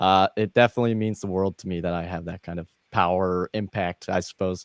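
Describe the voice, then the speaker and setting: A man with a very deep, low pitch and an American accent, speaking at a very fast pace in monotone, flat intonation, in a very clean recording with a silent background and a dry, close sound with no echo. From US Midwest. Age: 20s. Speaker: gamer and streamer. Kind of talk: interview.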